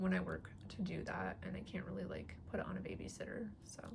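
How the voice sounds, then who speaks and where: A woman talks at a moderate pace. Room echo is audible around her. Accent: American. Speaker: vlogger. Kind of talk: casual show-and-tell chat. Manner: hesitant with fillers.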